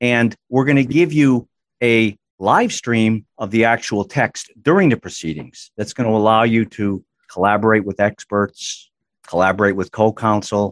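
Speaking at a moderate pace and medium pitch, a man with an American accent has an unremarkable speaking voice and ordinary pitch variation. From Massachusetts, US. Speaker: attorney, company chief legal officer. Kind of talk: podcast interview.

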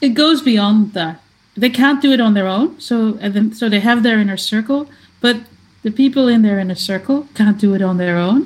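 A woman with a Dutch accent speaks at a moderate pace in a fairly high pitch. Her voice is somewhat breathy, with ordinary pitch variation. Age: 50s. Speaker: fan site founder. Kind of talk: casual chat.

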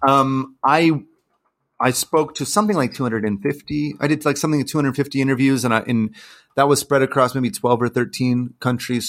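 A man is speaking with an American accent. His pace is moderate. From California, US. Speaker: journalist and author. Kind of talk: interview. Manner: hesitant, many fillers and restarts.

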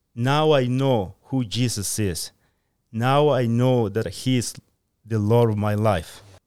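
Speaking very slowly with a Spanish accent, a man uses a medium pitch and ordinary pitch variation in a very clean recording with a silent background. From Guatemala. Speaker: church member. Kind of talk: Bible teaching discussion. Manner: halting, many fillers.

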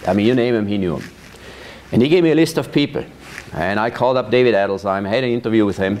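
A man speaks at a medium pitch with lively intonation. Noticeable background noise is present. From Switzerland, Thurgau. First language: Swiss German. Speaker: vineyard manager. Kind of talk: oral history interview. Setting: at his farm.

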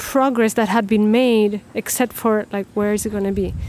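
The speaker is a woman with a Spanish accent. Her intonation is monotone and flat. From Chile. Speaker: documentary filmmaker and artist. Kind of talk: interview.

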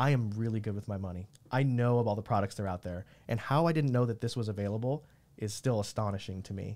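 Over a silent background in a very clean recording, a man talks at a very fast pace with a fairly low pitch and ordinary pitch variation. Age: 30s. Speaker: podcast host. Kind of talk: casual interview.

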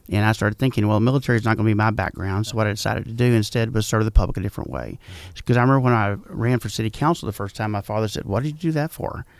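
Delivered in a Texan accent at a very fast pace, the speech has hardly any pauses. The recording is very clean, with a silent background. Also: man, fairly low pitch for a man, ordinary pitch variation. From Texas, San Antonio. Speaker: small-town mayor. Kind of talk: radio interview. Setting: studio.

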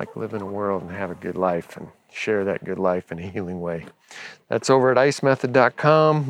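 Delivered in a normal speaking voice with an American accent, the speech moves at a moderate pace with ordinary pitch variation. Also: man. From US West Coast, Los Angeles. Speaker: podcast host, farmer and former pastor. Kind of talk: casual monologue. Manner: relaxed, with frequent filler words.

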